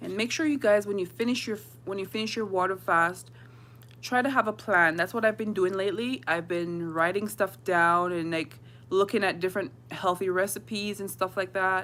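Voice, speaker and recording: The speaker is a woman with a medium pitch. She sounds bright and sharp. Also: ordinary pitch variation. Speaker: fasting vlogger. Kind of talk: casual livestream chat. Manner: fast.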